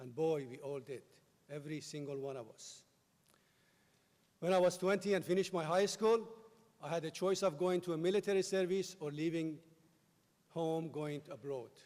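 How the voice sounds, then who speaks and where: This man speaks at a moderate pace in a Persian accent, with long, frequent pauses. His high pitch shows ordinary variation, and his loudness swings widely. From Iran. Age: 50s. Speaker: commencement speaker. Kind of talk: commencement speech. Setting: stage with audience.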